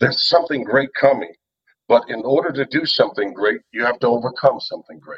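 A man of medium pitch speaks in a normal speaking voice. His pitch variation is ordinary. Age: 40s. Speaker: motivational speaker and powerlifter. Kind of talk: casual interview.

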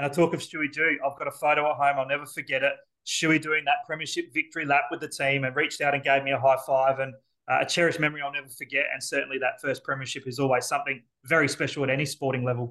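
Very fast and monotone, a man with an Australian accent talks in a bright, sharp tone at a fairly high pitch. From South Australia, Elizabeth. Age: 40s. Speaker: football commentator. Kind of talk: casual interview.

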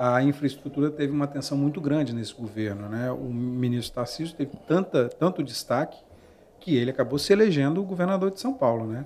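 A man talks at a fairly quick pace, his pitch fairly high and his intonation lively. It is an ordinary speaking voice. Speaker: podcast host. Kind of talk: interview. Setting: studio.

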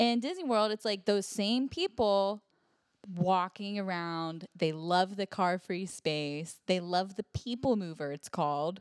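A woman with a Pittsburgh accent at medium pitch and a fairly slow pace, with ordinary pitch variation and a dry, close sound with no echo. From Pittsburgh, US. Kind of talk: casual chat.

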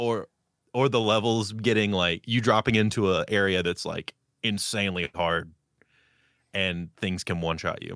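A man speaks at a moderate pace in a fairly low voice, with fairly even intonation and long, frequent pauses. The recording is very clean with a silent background, dry and close with no echo. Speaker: podcast co-host. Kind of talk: casual chat. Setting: live stream with chat.

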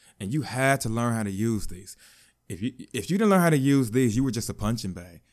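Ordinary pitch variation in a man's medium-pitched voice, captured in a very clean recording against a silent background. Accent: American. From Chicago, US Midwest. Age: 30s. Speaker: podcast host. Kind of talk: personal testimony monologue. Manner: halting.

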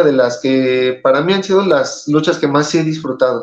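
A man's ordinary speaking voice at a moderate pace with ordinary pitch variation. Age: 30s. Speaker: professional wrestler. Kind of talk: interview.

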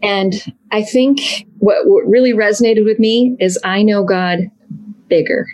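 Using an unremarkable speaking voice, the speaker talks at a fairly slow pace with ordinary pitch variation and very even loudness. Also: woman, fairly high pitch for a woman. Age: 50s. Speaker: blogger and former missionary. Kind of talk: casual interview.

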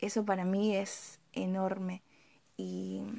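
Her pitch lands in the medium range. She speaks with flat, monotone intonation. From Argentina, Misiones province. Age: 20s. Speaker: amateur poet. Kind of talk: casual vlog monologue.

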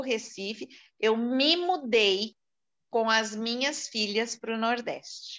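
The woman's voice is high in pitch. She speaks very slowly. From São Paulo city, Brazil. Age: 60s. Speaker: event marketing professional. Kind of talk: interview testimony.

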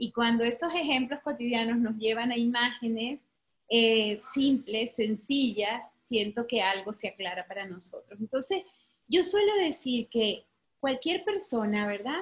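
At a fairly slow pace, a woman with an unremarkable speaking voice talks at a fairly high pitch with lively intonation. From Venezuela. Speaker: psychologist and therapist. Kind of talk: interview.

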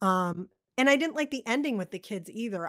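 A woman's unremarkable speaking voice with an American accent and lively intonation, dry and close with no echo, on a very clean recording with a silent background. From Massachusetts, north of Boston. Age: 40s. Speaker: podcast co-host, film discussion. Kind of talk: casual chat.

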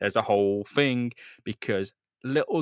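Recorded with a dry, close sound and no echo, a man with a British accent speaks at a moderate pace with ordinary pitch variation. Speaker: podcast host. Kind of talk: casual chat.

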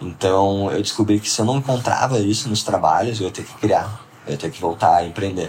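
Over noticeable background noise, a man with a fairly low pitch and ordinary pitch variation talks with hardly any pauses and big swings in loudness. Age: 20s. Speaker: entrepreneur. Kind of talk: casual interview.

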